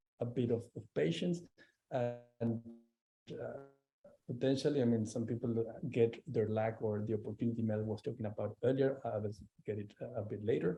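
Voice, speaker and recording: A man with a Spanish accent speaks at a moderate pace in a dark, mellow, somewhat breathy tone, at medium pitch with ordinary pitch variation and long, frequent pauses. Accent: noticeable Spanish. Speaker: arbitration lawyer, panelist. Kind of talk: panel discussion. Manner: halting, many fillers.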